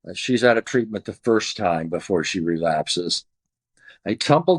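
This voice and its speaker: A man with an American accent talks in a plain, everyday voice at a fairly low pitch, with lively intonation. The background is quiet. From Southern California. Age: 60s. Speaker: recovering addict telling his story. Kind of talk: testimony.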